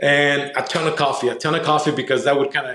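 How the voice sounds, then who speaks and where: A man with a Spanish accent speaks at a moderate pace in a fairly high pitch, with audible room echo around him. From Mexico, moved to Southern California as a kid. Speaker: entrepreneur and consultant. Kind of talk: podcast interview.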